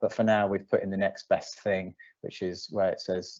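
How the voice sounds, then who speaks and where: The speech comes at a very fast pace in a British accent. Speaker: digital planning project team member demoing a service. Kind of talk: live software demo. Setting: live online presentation. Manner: fast, self-described rattling through quickly; hesitant, many fillers.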